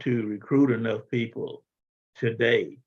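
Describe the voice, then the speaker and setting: In a Southern US accent, a man speaks somewhat breathily at a fairly slow pace with fairly even intonation. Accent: Southern US (Georgia). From US South, South Georgia. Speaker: radio host, Vietnam era veteran. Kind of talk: radio talk show discussion.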